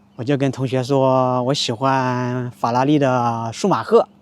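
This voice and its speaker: A man speaks at a medium pitch in a plain, everyday voice. His intonation is fairly even. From rural county town in China. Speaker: Mandarin teacher vlogger. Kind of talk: casual talk to camera.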